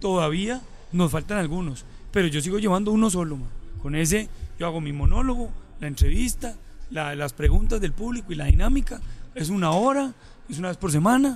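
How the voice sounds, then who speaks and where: A high-voiced man talks fairly quickly with lively intonation but leaves long, frequent pauses. Music plays in the background, and the room has audible echo. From Colombia, Medellín. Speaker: comedian and radio host. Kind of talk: casual chat.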